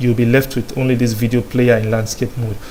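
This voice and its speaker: Noticeable background noise runs under the recording. A man talks at a medium pitch. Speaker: programming tutor. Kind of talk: coding tutorial. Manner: filler-heavy, repeated so and um.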